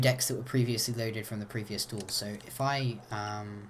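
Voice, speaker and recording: A somewhat breathy voice at a fairly slow pace. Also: man. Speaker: gaming video creator. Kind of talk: tutorial. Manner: casual, hesitant with fillers.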